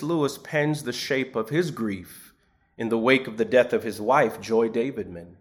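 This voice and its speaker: A man's plain, everyday voice, medium in pitch, with lively intonation. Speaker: preacher. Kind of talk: sermon, homily in a church service. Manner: measured, formal pulpit delivery.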